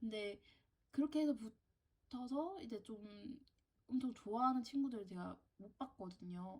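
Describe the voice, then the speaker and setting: Her pitch high and intonation lively, a woman talks at a moderate pace. She takes long, frequent pauses. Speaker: university student vlogger. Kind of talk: casual Q&A vlog.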